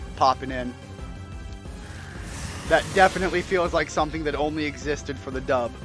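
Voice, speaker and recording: A man speaks fairly quickly. Background music accompanies his words. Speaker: gameplay commentator. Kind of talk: casual let's play commentary.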